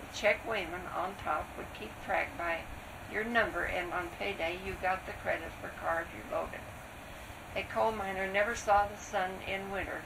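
The speech moves at a moderate pace with fairly even intonation over noticeable background noise. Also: woman. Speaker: interviewee. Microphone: old recording.

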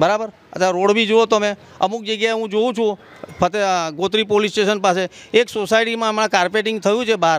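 The man's voice sits at a high pitch, with fairly even intonation. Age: 60s. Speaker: local resident, voter. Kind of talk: vox pop interview; interview answer. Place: street. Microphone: handheld.

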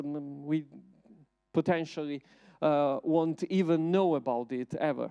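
Against a quiet background, a man with an Italian accent talks at a fairly slow pace with a dark, mellow tone. His pitch is fairly high for a man, with ordinary variation. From Italy. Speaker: researcher and artist; invited lecturer. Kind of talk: lecture. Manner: halting. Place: hall. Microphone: handheld.

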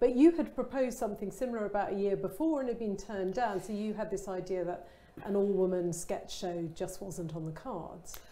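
This woman speaks in a southern English accent. Her pace is fairly quick, and her pitch varies normally. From Kent, England. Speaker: interviewer. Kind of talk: casual chat. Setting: online event. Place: studio. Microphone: lapel.

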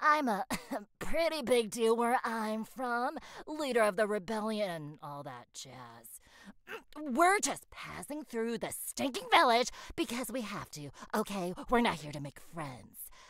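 This female-sounding voice is a put-on character voice with a fairly high pitch. It moves at a fairly slow pace. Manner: irritated, sarcastic.

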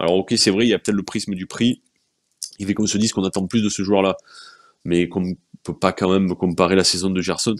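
Over a quiet background, the voice moves at a very fast pace with fairly even intonation. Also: man. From France, Marseille. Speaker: sports journalist. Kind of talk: casual chat. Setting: video stream. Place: home room. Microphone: earbuds.

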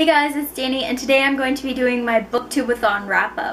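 Pitch varies in an ordinary way. There is light background noise. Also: woman. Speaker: book vlogger. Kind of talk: casual vlog chat. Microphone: camera far.

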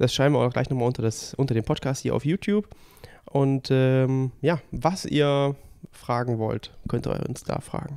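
Ordinary pitch variation and a medium pitch mark this man's speech at a moderate pace. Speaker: triathlon coach and podcast host. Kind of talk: casual chat. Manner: soft-spoken. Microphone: too quiet, level turned up.

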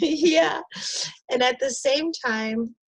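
A woman speaks in an enthusiastic, warm tone. The background is quiet. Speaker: community engagement coordinator; interview host. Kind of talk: interview host conversation. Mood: warm, enthusiastic. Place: home room. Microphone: earbuds.

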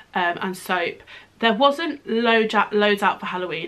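Here is a woman with a British accent. Her pitch sits fairly high. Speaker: beauty YouTuber. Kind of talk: casual product haul video. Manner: chatty, informal.

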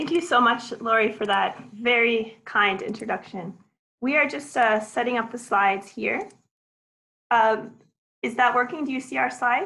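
A woman with a bright, sharp tone speaks at a fairly high pitch with ordinary pitch variation. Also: moderate pace. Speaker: professor. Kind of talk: webinar lecture. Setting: online webinar.

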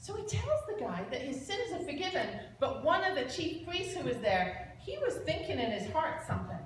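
A woman's high voice makes big pitch swings over audible room echo. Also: moderate pace.

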